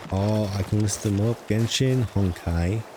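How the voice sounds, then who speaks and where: There is noticeable background noise behind this voice. A man with a British accent speaks at a fairly low pitch. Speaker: gaming streamer. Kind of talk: live gameplay commentary. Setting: live stream.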